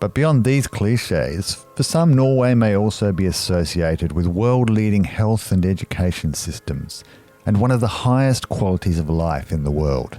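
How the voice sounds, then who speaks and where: With very wide swings in pitch, a man talks while music sounds in the background. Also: fairly low pitch for a man, moderate pace. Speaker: podcast interviewer. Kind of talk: scripted introduction narration.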